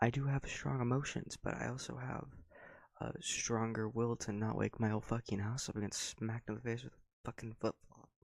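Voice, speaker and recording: Soft-spoken, a man speaks at a fairly quick pace and medium pitch with fairly even intonation. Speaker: YouTuber ranting. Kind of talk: rant. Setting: home at night.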